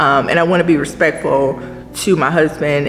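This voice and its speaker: Over faint background music, a woman with a very deep, low voice speaks at a moderate pace with fairly even intonation. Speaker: vlogger. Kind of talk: casual vlog chat. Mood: reflective, gentle. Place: shop. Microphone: camera far.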